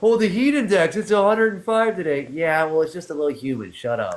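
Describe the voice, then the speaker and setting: A man's fairly quick speech with very wide pitch swings. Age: 60s. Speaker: live stream host. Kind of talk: casual chat. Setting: TikTok live stream.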